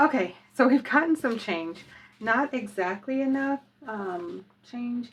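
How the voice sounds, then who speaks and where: Speaking fairly slowly with long, frequent pauses, a woman uses a high pitch and lively intonation. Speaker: budgeting youtuber. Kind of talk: casual cash-stuffing tutorial. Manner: hesitant, many fillers.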